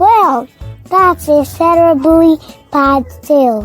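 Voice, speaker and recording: A woman uses a put-on character voice at a very slow pace. Faint music plays in the background. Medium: read story. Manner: warm, attentive.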